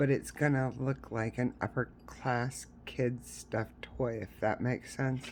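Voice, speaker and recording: Very slow speech in a Southern US accent. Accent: Southern US, noticeable. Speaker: crochet tutorial creator. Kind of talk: tutorial; casual chat. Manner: casual, filler-heavy.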